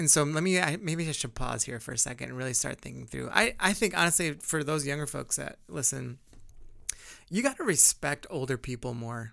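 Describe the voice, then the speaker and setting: A man's fairly high voice with vocal fry and lively intonation, moving at a fairly quick pace. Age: 40s. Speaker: co-lead pastor and podcast co-host. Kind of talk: casual chat.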